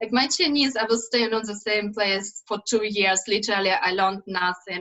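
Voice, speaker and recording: Speech comes at a moderate pace with ordinary pitch variation. Noticeable background noise sits under it. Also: woman, fairly high pitch for a woman. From central Ukraine. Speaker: English teacher. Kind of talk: casual chat.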